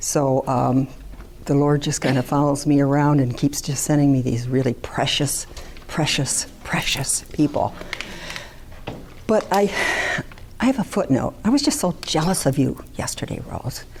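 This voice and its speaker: A woman at a very deep, low pitch with ordinary pitch variation, a fairly slow pace and long, frequent pauses, over noticeable background noise. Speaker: social worker. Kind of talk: conference talk.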